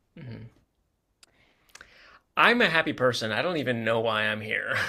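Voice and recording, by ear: Using a put-on character voice, a man speaks in a raspy, medium-pitched tone at a moderate pace with ordinary pitch variation.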